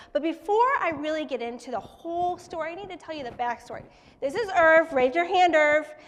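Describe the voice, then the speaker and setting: A woman with an extremely high pitch talks at a fairly quick pace with lively intonation. Her loudness swings a lot, and there is noticeable background noise. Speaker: startup founder and children's book author. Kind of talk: pitch presentation. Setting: stage with live audience. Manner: fast.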